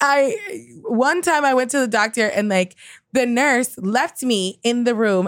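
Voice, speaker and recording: In a very clean recording with a silent background, a woman with an American accent speaks in a fairly high, animated voice with ordinary pitch variation. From New York (Queens). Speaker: comedian. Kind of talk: casual chat.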